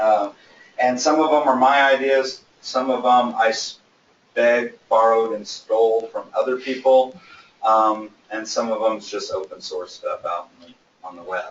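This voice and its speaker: Moderate pace from a man, loudness swinging widely. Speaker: business speaker. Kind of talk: lecture. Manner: casual, many fillers.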